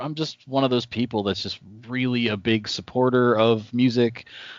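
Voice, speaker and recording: Speaking at a moderate pace, a man has medium pitch and an unremarkable speaking voice. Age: 30s. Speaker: podcast host. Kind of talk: casual interview. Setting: video call.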